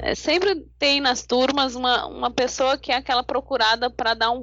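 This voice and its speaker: Her pitch high, a woman speaks at a moderate pace. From Brazil, São Paulo. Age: 40s. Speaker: life coach and lawyer. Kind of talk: interview.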